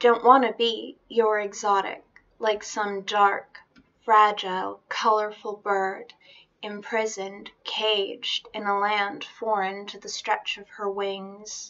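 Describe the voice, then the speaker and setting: A woman speaks very slowly in a monotone, flat way. Her loudness swings widely. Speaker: poetry reader. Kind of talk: spoken-word reading of a defiant feminist poem. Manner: rhythmic, emphatic spoken-word cadence with repeated refrains. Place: home room. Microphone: webcam.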